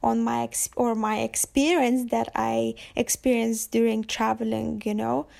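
In a very clean recording with a silent background, a woman with a Lithuanian accent talks at a fairly slow pace. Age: 20s. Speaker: podcaster and visual artist. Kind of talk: solo monologue podcast intro. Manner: hesitant, many fillers.

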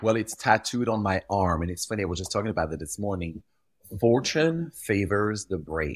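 The recording is very clean, with a silent background. A man with a French accent speaks at a moderate pace and fairly low pitch, with lively intonation. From Belgium. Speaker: fashion retail executive, guest. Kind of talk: interview, casual chat.

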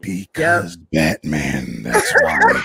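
Putting on a character voice, a man speaks with a raspy sound and a very deep, low pitch. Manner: grim, deadpan.

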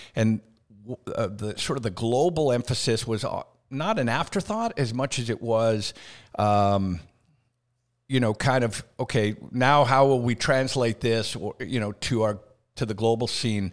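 This is a normal speaking voice with ordinary pitch variation. The recording is very clean, with a silent background. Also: man, medium pitch for a man, fairly slow pace. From Canada. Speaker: school association executive. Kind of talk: casual interview.

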